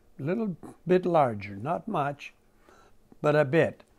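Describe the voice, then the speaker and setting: Over a quiet background, a man speaks at a very slow pace with ordinary pitch variation. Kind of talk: interview answer, storytelling. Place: home room.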